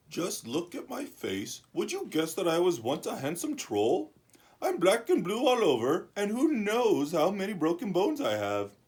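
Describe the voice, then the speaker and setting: A woman's cartoonish character voice at a medium pitch and a moderate pace. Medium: puppet.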